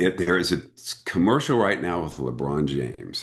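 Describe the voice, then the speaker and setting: An animated man with an American accent, lively intonation and a fairly slow pace against a quiet background. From US Midwest, Springfield, Missouri. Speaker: actor. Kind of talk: casual interview chat.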